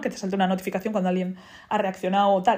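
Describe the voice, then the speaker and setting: Somewhat breathy, a woman's voice sits at a medium pitch. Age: 20s. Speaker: podcaster. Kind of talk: casual monologue.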